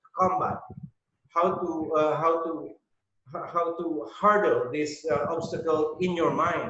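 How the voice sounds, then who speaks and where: A man's voice with audible room echo. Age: 60s. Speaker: network marketing member giving testimony. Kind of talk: testimony. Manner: halting, many fillers and repetitions.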